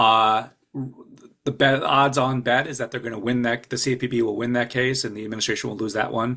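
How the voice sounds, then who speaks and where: At a fairly quick pace, a man with an American accent speaks at a medium pitch in a bright, sharp tone with monotone, flat intonation. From US Midwest, Chicago. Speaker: mortgage regulatory expert. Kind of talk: webinar presentation. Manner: fast.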